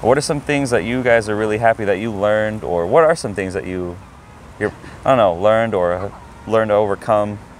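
A man with an unremarkable speaking voice talks at a fairly quick pace, fairly low in pitch with ordinary pitch variation, in a dry sound with no echo over light background noise. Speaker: YouTube host and teacher. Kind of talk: casual interview. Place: open country. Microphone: handheld.

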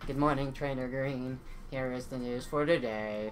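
A man puts on a robotic character voice at a medium pitch and a moderate pace, with clear background noise behind him. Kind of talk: announcer-like.

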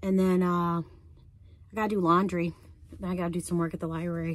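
Here a woman is speaking. The sound is dry with no echo, over a quiet background. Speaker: van-life vlogger. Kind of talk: casual vlog chat. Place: car. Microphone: phone near.

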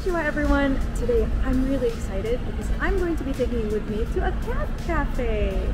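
A woman talks at a moderate pace as music plays in the background. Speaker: travel vlogger. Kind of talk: casual vlog chat. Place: street. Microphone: phone near.

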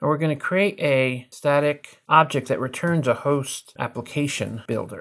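The speaker is a man with ordinary pitch variation. He moves at a fairly slow pace. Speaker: software instructor. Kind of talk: tutorial. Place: home room.

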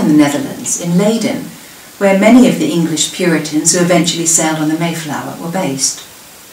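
A woman speaks at a fairly quick pace in a fairly low voice, with audible room echo and light background noise. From southern England. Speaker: local history presenter. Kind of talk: prepared talk. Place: home room. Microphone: webcam.

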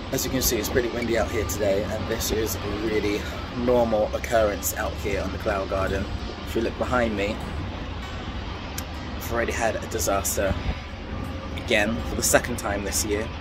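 Music plays behind the speaker. A man talks at a fairly quick pace. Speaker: balcony gardener vlogger. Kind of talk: casual vlog chat. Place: garden. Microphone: phone near.

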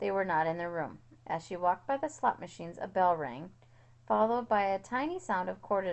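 A reading voice that sounds natural.

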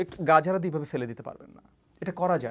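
Over a quiet background, a man speaks in a high pitch with lively intonation. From Bangladesh. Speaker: politician and university lecturer; politician, university lecturer. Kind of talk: interview. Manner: halting. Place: studio. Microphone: lapel.

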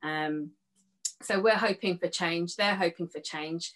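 The speaker is a woman. The background is quiet. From southern England. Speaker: youth worker; panelist. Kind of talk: panel discussion. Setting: video call. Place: home room. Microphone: webcam.

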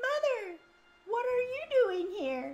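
The speaker puts on a character voice that sounds female. It reaches an extremely high pitch for a woman.

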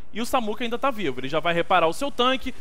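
A man's voice sits at a high pitch and moves with lively intonation. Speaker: game commentator. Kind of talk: sports commentary. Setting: online stream. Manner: fast, excitable play-by-play, exclaiming at big shots; informal, chatty, talking straight to the audience.

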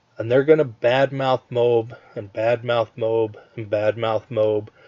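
Fairly even in intonation, a man speaks at a medium pitch in an ordinary speaking voice. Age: 50s. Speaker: online marketer. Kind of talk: webinar sales pitch. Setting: online webinar with screen share.

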